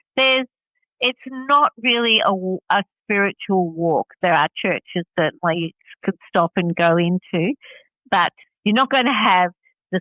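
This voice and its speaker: A woman with a medium pitch and an Australian accent speaks at a fairly slow pace with lively intonation. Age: 60s. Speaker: hiker. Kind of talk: interview.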